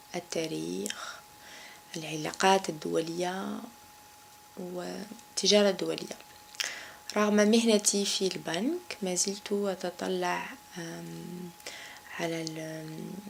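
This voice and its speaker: Over noticeable background noise, a woman with an Algerian accent speaks at a very slow pace with long, frequent pauses. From Algeria, Kabylie. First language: Kabyle (speaking French). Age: 30s. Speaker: banker. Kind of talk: interview. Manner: halting, many fillers.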